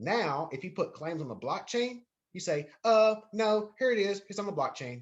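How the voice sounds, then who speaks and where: A man with a Southern US accent, high-pitched and with lively intonation. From North Carolina. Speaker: university lecturer. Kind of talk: lecture. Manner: repetitive, self-correcting.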